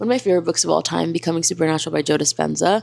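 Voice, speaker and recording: This woman has a slight Spanish accent. Her pitch is fairly low. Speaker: lifestyle and self-help content creator. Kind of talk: motivational vlog talk.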